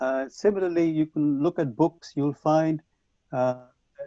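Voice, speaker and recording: A man with a Punjabi accent speaks at a moderate pace. His fairly high voice has a dark, mellow tone and a dry, close sound with no echo. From Punjab, India. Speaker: English language teacher trainer. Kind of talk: conference talk. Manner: hesitant with fillers.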